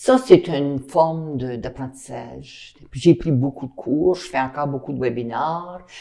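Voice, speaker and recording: Her voice is very deep and low, with a dark, mellow tone. The woman speaks at a fairly slow pace with ordinary pitch variation. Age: 70s. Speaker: retired teacher. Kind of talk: interview.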